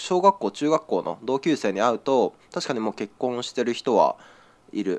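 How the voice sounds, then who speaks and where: At a moderate pace, a man speaks with very wide pitch swings, the sound dry and close with no echo and a quiet background. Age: 20s. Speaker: podcast co-host. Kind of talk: casual chat.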